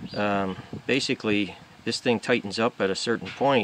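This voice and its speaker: A man at a moderate pace, with a dry sound free of echo and light background noise. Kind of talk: tutorial. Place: garden.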